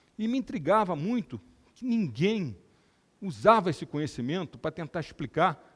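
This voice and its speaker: A man speaks at a moderate pace, his pitch swinging very widely and dipping into vocal fry. The recording is very clean, with a silent background. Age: 60s. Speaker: neurosurgeon and lecturer. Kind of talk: lecture.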